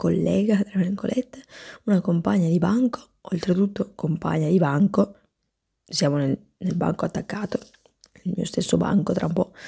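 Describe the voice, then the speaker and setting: Over a quiet background, a soft-spoken woman with a dark, mellow tone and vocal fry talks at a moderate pace with ordinary pitch variation and long, frequent pauses. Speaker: comic sketch performer. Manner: soft-spoken, mildly annoyed ASMR voice. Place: home room. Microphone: lapel.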